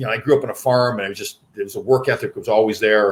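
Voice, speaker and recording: His voice comes across somewhat breathy. The man speaks at a very fast pace. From Canada. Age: 60s. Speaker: podcast host, former hockey player and sports agent. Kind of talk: casual interview chat.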